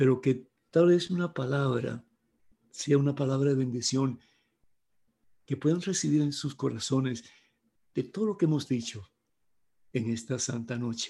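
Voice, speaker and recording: This man's voice is somewhat breathy, with a dark, mellow tone and a medium pitch. His pitch varies in an ordinary way, and he leaves long, frequent pauses. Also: fairly slow pace. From Cuba. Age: 70s. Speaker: priest and evangelist. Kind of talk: talk to priests.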